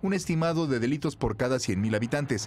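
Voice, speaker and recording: Using a normal speaking voice, a man talks at a fairly quick pace with medium pitch and ordinary pitch variation. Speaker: news reporter. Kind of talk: scripted narration. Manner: formal.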